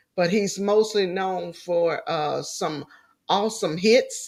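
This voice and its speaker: A woman talks with lively intonation. She has a slight Louisiana accent. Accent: slight country Louisiana. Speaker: talk show host. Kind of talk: interview. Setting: livestream. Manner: deliberately slowed speech.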